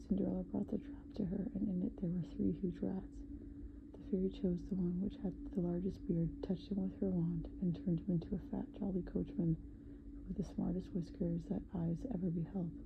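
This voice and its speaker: Soft-spoken, the speaker keeps to a moderate pace. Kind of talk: sleep story, bedtime story reading. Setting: ASMR recording.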